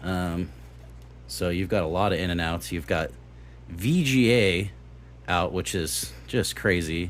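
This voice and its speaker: A man's very deep, low voice with vocal fry and lively intonation, at a fairly slow pace with long, frequent pauses. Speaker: tech youtuber reviewing retro gaming hardware. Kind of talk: unboxing and product review. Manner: slow, halting with fillers.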